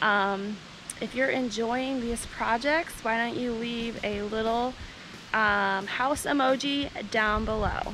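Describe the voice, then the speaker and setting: A woman's very slow, fairly even delivery, with music in the background and a dry sound with no echo. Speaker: family vlogger. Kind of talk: casual vlog chat. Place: garden. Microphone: phone near.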